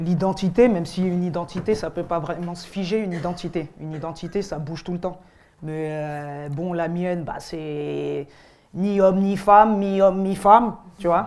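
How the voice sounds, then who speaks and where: A woman speaks at a moderate pace in a fairly low voice with fairly even intonation. Her loudness swings a lot. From French Antilles. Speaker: rapper. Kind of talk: interview in seminar. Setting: university seminar with students. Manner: hesitant, many fillers.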